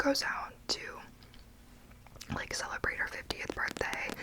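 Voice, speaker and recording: Someone is whispering. Noticeable background noise is audible. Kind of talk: ASMR book review. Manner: whispered, soft-spoken.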